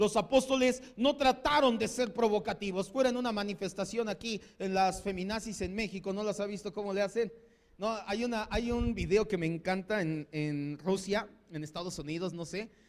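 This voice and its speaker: A man in a central Mexican accent speaks at a moderate pace in a high pitch with an animated tone. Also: ordinary pitch variation. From Mexico. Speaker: pastor. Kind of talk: sermon.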